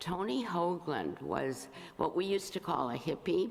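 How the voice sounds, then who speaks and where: A woman's fairly slow, lively-sounding speech over noticeable background noise. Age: 80s+. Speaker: lay congregation member reading poetry. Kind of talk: introduction and poetry reading at a church service. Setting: church service before congregation. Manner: halting, with filler sounds.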